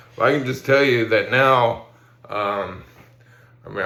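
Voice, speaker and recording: A man's voice carries audible room echo. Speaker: person living with ALS sharing health update. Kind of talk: personal video update. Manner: halting, many fillers; some slurred pronunciation.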